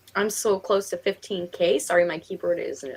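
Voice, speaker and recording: A woman's fairly low voice with an American accent, set against noticeable background noise. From Western New York, near Rochester. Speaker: writing livestream host. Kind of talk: casual chat.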